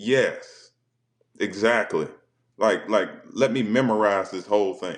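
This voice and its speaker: A man with a Southern accent, fairly low in pitch, at a fairly slow pace. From South Carolina. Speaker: former football player and spoken word poet. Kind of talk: casual chat. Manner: halting, repeats words.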